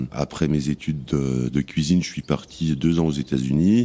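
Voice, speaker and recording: A man talks fairly slowly in a very deep, low voice. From France, Savoie (Tarentaise valley). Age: 40s. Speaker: chef. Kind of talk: interview testimony. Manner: hesitant, many fillers; blunt, plain-spoken.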